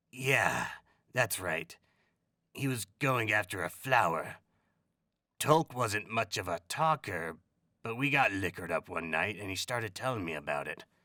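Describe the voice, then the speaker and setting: A raspy, put-on character voice moves at a moderate pace with lively intonation and long, frequent pauses. The recording is very clean with a silent background and a dry, close sound with no echo. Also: man, fairly low pitch for a man. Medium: read story. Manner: casual, talkative.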